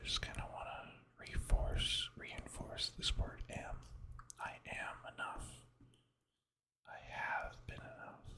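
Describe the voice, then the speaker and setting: Someone whispers at a very slow pace. Long, frequent pauses break up the words. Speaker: ASMR creator. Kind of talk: ASMR whispered drawing session. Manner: whispered.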